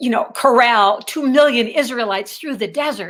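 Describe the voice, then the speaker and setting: With ordinary pitch variation, a woman talks in a fairly high voice. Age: 60s. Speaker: author. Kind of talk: interview.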